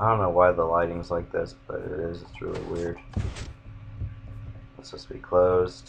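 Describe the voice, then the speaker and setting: Music plays in the background and there is audible room echo. A man speaks at a moderate pace with long, frequent pauses and big swings in loudness. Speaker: gaming YouTuber. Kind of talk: gameplay commentary. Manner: monotone; casual.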